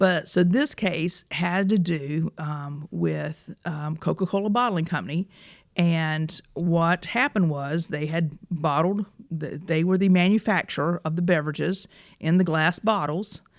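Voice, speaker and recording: A woman's fairly low voice in a Southern US accent, fairly slow, on a very clean recording with a silent background. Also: ordinary pitch variation. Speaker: personal injury lawyer, podcast host. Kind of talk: casual chat.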